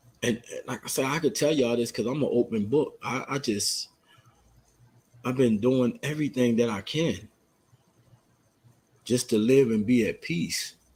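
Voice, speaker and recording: Somewhat breathy male speech at a moderate pace, broken by long, frequent pauses. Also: medium pitch for a man, ordinary pitch variation. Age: 50s. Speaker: podcast guest sharing life story. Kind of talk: casual chat. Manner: halting.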